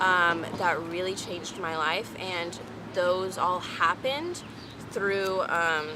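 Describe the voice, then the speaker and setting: Noticeable background noise and audible room echo surround a woman speaking at a very slow pace. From Texas, Houston. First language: French. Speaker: vlogger. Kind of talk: casual chat. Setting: outdoors. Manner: hesitant with many fillers.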